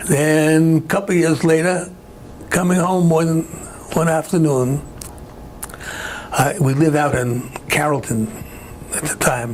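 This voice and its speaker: Here is a man with a New York accent. His pitch is fairly high. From Brooklyn, New York. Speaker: retired aircraft worker, war veteran. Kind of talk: oral history interview answer.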